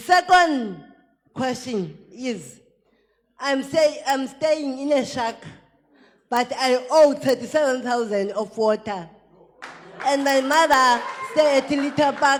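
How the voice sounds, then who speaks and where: A woman with a high-pitched voice and ordinary pitch variation talks at a very slow pace with long, frequent pauses. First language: not English. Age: old. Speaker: waste picker, audience member. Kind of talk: audience question at public debate. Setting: debate hall with audience.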